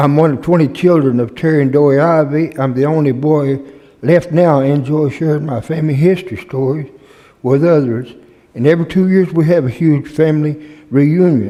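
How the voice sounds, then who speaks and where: With a Southern US accent, a man talks at a moderate pace in a fairly high voice that has a dark, mellow tone and ordinary pitch variation. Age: 70s. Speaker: retired firefighter. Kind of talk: public comment.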